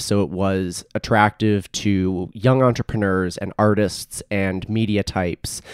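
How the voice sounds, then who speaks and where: With a Canadian accent, a man uses a normal speaking voice at a fairly low pitch and a fairly slow pace, captured in a very clean recording with a silent background. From Edmonton, Alberta, Canada. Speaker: radio and podcast producer. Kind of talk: casual chat.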